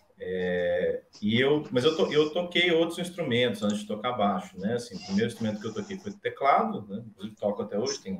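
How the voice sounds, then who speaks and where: A man's voice with very wide pitch swings, big swings in loudness and hardly any pauses. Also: medium pitch for a man, fairly quick pace. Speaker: bassist and bass teacher. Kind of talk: casual chat. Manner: halting.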